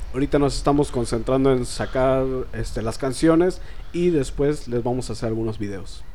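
Amid noticeable background noise and audible room echo, a man in a Mexican accent speaks at medium pitch. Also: ordinary pitch variation, moderate pace. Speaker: singer-songwriter. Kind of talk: casual interview.

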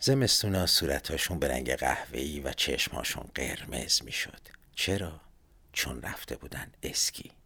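Whispering at a moderate pace. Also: man. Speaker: podcaster. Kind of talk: scripted narration.

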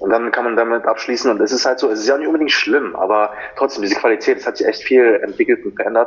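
Noticeable background noise sits behind a man who talks very fast. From Germany. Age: 20s. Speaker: personal trainer and fitness model. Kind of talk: podcast interview.

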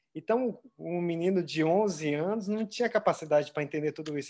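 A man talks at a fairly quick pace, his dark, mellow tone showing ordinary pitch variation. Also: very clean recording, silent background. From interior of São Paulo state, Brazil. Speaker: triathlon coach, former professional triathlete. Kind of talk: interview.

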